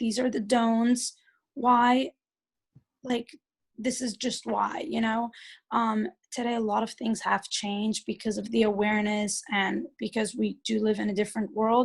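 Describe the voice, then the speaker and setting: On a very clean recording with a silent background, a woman speaks at a fairly slow pace with a fairly high, somewhat breathy voice and fairly even intonation. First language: Yiddish. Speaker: speaker at a community event. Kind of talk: talk and interview before an audience. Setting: community event with audience. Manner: hesitant, many fillers and repeats.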